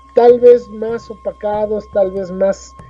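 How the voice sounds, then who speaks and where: A man is speaking. Music plays in the background. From Mexico City, Coyoacán. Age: 60s. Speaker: teacher of ancestral culture, author. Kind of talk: interview. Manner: halting, with frequent fillers and repetitions.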